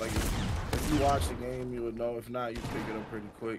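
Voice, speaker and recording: Audible room echo surrounds the speech, along with noticeable background noise. The pace is fairly quick. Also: man. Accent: American. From New York. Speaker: rapper. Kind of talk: casual gaming chat.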